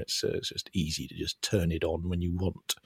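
A man with a British accent sounds somewhat breathy. The recording is very clean, dry and close, with no echo and a silent background. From UK. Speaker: podcast co-host, former games salesman. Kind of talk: casual chat.

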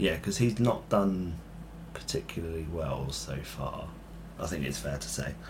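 A man with a British accent, a very deep, low voice, very wide pitch swings, and a moderate pace. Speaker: football podcast host. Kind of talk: casual chat.

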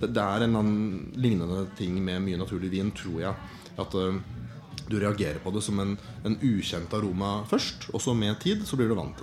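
Audible room echo surrounds a man with a fairly low pitch. Music plays in the background. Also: ordinary pitch variation, moderate pace. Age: 30s. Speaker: wine importer and producer. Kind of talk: live podcast conversation. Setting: stage with audience.

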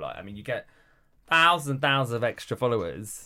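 A man's bright, sharp tone at a very fast pace. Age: 40s. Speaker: celebrity journalist and author. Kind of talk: casual chat.

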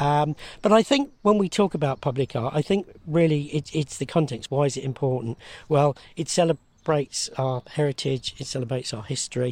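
A man with a fairly high, somewhat breathy voice talks at a moderate pace with ordinary pitch variation, in a very clean recording with a silent background. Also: dry, close sound with no echo. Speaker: arts development officer. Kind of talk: interview. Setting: outdoors.

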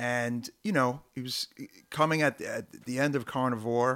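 A man with a Brooklyn accent speaks at a fairly slow pace, his medium pitch showing ordinary variation. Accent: New York (Brooklyn). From Brooklyn, New York (South Brooklyn). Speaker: hardcore punk musician. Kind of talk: casual chat.

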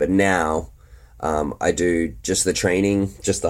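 Over a silent background in a very clean recording, a man speaks with an Australian accent. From Australia (Brisbane, Queensland). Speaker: free runner, athlete. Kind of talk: casual interview chat.

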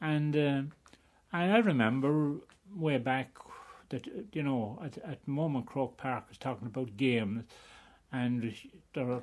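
With a Wexford accent, a man speaks at a medium pitch. His pace is moderate and his pitch varies in an ordinary way. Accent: rural Wexford Irish. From Ireland, County Wexford. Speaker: retired hurler. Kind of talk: reminiscing interview.

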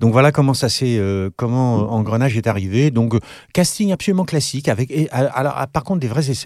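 Here a man speaks at a medium pitch and a fairly quick pace, with lively intonation. The recording is very clean, with a silent background. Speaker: actor and author, former acting teacher. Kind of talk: casual interview chat.

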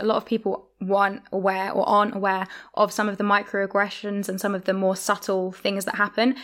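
At a fairly quick pace, a woman speaks in an unremarkable speaking voice of medium pitch. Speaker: podcast host. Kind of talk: interview.

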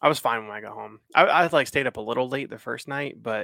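A man speaks at a fairly quick pace with a bright, sharp tone. The sound is dry and close, without echo. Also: very clean recording, silent background. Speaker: podcast co-host. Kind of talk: casual chat.

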